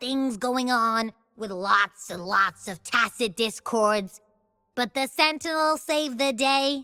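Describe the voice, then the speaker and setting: Faint music plays in the background as a woman uses a put-on character voice, high in pitch and fairly slow in pace. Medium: dub. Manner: upbeat, playful.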